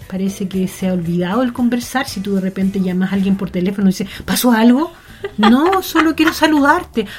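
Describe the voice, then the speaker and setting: Noticeable background noise sits behind a woman with a medium pitch. She speaks at a fairly quick pace with lively intonation. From Chile, rural Melipilla. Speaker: entrepreneur and yoga teacher. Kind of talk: interview conversation.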